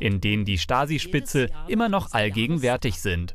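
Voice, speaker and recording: A man's vocal fry with very wide pitch swings. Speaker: news reporter. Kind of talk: local TV news narration.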